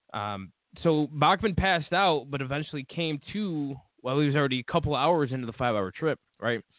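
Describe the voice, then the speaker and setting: A man with a plain, everyday voice, fairly high pitch, lively intonation and a fairly quick pace. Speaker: podcast host. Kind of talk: casual banter, comedic chat. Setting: live internet radio show.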